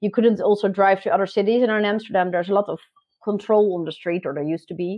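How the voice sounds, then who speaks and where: A woman speaks very fast with a Dutch accent. Her pitch is medium and her intonation fairly even. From Netherlands, South Holland. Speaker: digital marketer. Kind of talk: podcast interview. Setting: video call from home garden. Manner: hesitant, many fillers.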